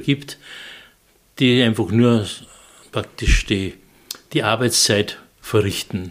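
A man's medium-pitched voice at a very slow pace. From Austria, Salzburg. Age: 70s. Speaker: senior home singer. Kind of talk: storytelling interview. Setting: kitchen of a house.

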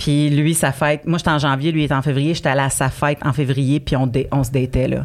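On a very clean recording with a silent background, a woman speaks fairly quickly at a very deep, low pitch, in a monotone, flat delivery with very even loudness. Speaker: comedian. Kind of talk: casual chat.

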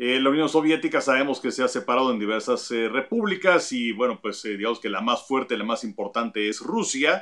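The man has an unremarkable speaking voice with a medium pitch and lively intonation. He moves at a fairly quick pace with hardly any pauses. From Mexico. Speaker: baseball pundit. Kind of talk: casual sports discussion.

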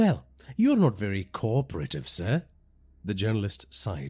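The man speaks at a fairly slow pace and a fairly low pitch. His voice is somewhat breathy. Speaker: horror podcast narrator. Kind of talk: first-person horror story narration, scripted and read aloud. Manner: measured, ominous storytelling pace building dread.

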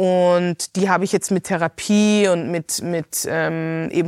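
This woman has a plain, everyday voice, fairly low in pitch with fairly even intonation, captured dry and close with no echo in a very clean recording against a silent background. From Hong Kong, then Austria from age 11. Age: 30s. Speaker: podcast host, artist and former journalist. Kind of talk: personal testimony in interview.

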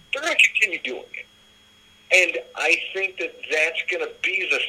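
A man speaks with an American accent at a moderate pace. Noticeable background noise runs under his voice. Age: 30s. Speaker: sports podcast host. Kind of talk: casual sports chat.

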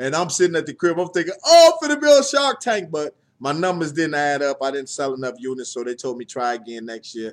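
A man's plain, everyday voice, fairly high in pitch with ordinary pitch variation, fairly quick with hardly any pauses, big swings in loudness, on a very clean recording with a silent background. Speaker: podcast co-host.

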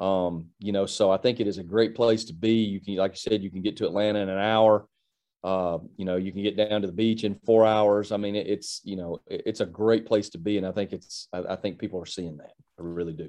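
Against a quiet background, a man with an American accent talks at a fairly quick pace in a fairly low, dark and mellow voice, monotone and flat in intonation yet with big swings in loudness. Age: 40s. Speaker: college football coach. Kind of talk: interview.

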